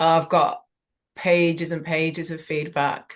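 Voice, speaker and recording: A woman at a very slow pace, her pitch fairly low. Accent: Yorkshire. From Leeds, England. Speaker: actor and writer. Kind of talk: interview answer.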